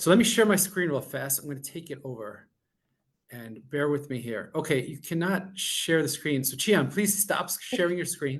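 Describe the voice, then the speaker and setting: A man with a Long Island accent talks at a moderate pace and a fairly high pitch. His intonation is lively, and his loudness swings widely. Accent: New York (Long Island). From Long Island, New York. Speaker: technology executive presenting a webinar. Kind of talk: webinar presentation.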